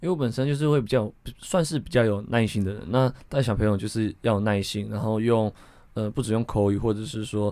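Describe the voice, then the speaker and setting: On a very clean recording with a silent background, a man with a dark, mellow tone talks at a fairly quick pace with ordinary pitch variation. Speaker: swimming coach. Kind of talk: interview.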